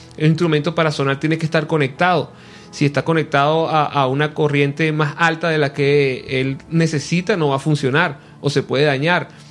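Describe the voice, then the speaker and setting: Monotone, flat intonation from a man with a fairly high pitch, very even loudness and a moderate pace, plus noticeable background noise. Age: 40s. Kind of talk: radio interview. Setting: radio studio.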